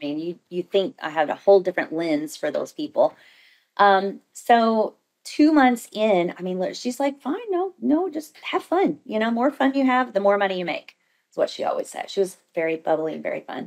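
In an American accent, a woman speaks with a fairly high pitch and very wide pitch swings against a quiet background. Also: moderate pace. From Southern Indiana; Indiana. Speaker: cosmetics sales director and entrepreneur; cosmetics sales director. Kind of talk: casual interview. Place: meeting room. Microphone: studio mic.

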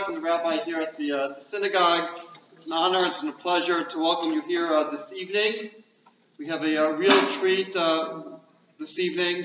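Set against noticeable background noise and audible room echo, a man's high-pitched voice keeps a fairly even intonation. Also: moderate pace. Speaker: rabbi. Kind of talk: welcome speech to audience. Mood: warm, reflective. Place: hall. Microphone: camera far.

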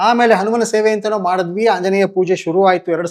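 Here is a man speaking. The recording is very clean with a silent background. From Karnataka, Mysore and Bangalore. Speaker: community organizer. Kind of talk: interview.

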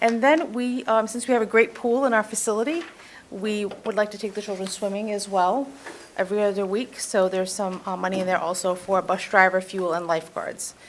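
This woman has an American accent and talks at a fairly quick pace with ordinary pitch variation. Noticeable background noise runs beneath her voice. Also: medium pitch for a woman. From Massachusetts. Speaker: youth program presenter. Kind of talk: budget presentation at council meeting. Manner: fast.

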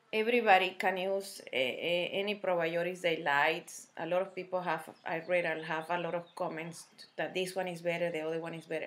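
Speaking at a fairly quick pace, a woman has a Spanish accent and a fairly low pitch. Her intonation is monotone and flat. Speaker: health vlogger. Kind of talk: casual talk to camera. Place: kitchen. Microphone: webcam.

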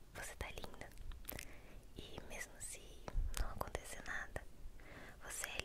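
A woman whispers at a fairly slow pace. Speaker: ASMR roleplay host playing an older sister. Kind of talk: soft roleplay chat to the viewer. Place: home room. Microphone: studio mic.

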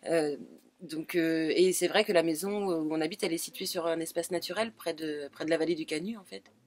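A woman with a fairly low pitch speaks at a moderate pace, with ordinary pitch variation and big swings in loudness. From Anjou, western France. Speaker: rural resident. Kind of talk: oral history interview. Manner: halting.

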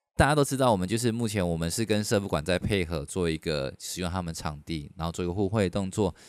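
A man with a very deep, low pitch talks at a very fast pace with ordinary pitch variation. The background is quiet, and the sound is dry with no echo. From Taiwan. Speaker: podcast host. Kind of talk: casual chat. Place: studio. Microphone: studio mic.

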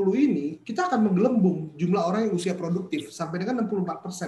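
Light background noise and audible room echo surround a man speaking at a high pitch and a fairly quick pace with lively intonation. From Indonesia. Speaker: entrepreneurship speaker; speaker. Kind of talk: webinar lecture. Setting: video call. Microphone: webcam.

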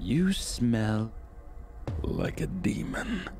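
A man puts on a character voice. Clear background noise runs behind him. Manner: menacing.

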